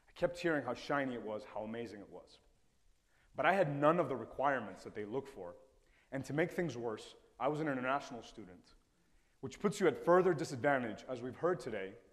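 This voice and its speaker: A man at a medium pitch talks very fast with lively intonation. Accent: Spanish. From Ecuador, Indian parents. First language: Spanish. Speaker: TEDx speaker, former investment banker. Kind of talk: TED-style talk.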